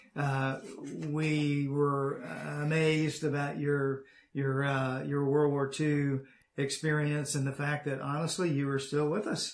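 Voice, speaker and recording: Over a quiet background with audible room echo, a man speaks at a fairly slow pace in a monotone, flat intonation and very even loudness. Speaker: interviewer host. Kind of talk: interview question. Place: home room.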